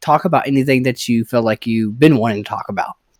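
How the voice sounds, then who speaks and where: Very fast speech from a man with a Southern US accent, on a very clean recording with a silent background. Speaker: podcast host. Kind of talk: casual chat.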